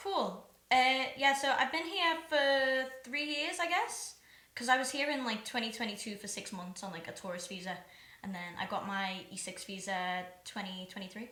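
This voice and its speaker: At a moderate pace, a woman with a Liverpool accent speaks at a fairly high pitch with very wide pitch swings and big swings in loudness, amid noticeable background noise and audible room echo. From Liverpool, England. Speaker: singer-songwriter. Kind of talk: casual chat.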